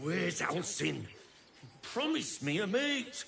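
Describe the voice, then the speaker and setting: A man puts on a character voice at a high pitch. He speaks at a fairly slow pace over clear background noise. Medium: video game.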